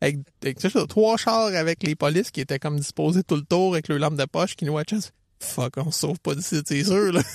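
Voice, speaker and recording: A man with a Quebec accent, fairly high in pitch, at a fairly quick pace with ordinary pitch variation, dry and close with no echo against a quiet background. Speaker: running coach and podcast co-host. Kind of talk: casual chat.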